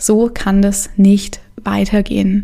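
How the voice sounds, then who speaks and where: A woman speaks at a very slow pace with a fairly high pitch. Her tone is dark and mellow, and somewhat breathy. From Stuttgart, Germany. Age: 20s. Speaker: yoga teacher and podcast host. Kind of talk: personal monologue; lecture. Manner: casual, many filler sounds.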